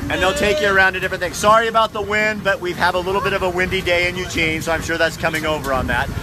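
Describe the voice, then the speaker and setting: A man talks with ordinary pitch variation over loud background noise. The sound itself is dry with no echo. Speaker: video host. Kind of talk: casual vlog chat. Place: bicycle. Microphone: phone near.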